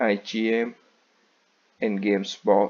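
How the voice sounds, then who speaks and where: Very slowly, a man speaks with a non-native accent. His pitch is fairly low. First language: not English. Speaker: student. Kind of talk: class presentation.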